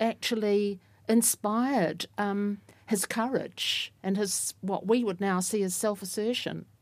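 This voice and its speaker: A woman at medium pitch, fairly slow and fairly even in intonation, on a very clean recording with a silent background. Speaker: university professor of English literature. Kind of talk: panel discussion. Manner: hesitant, thoughtful.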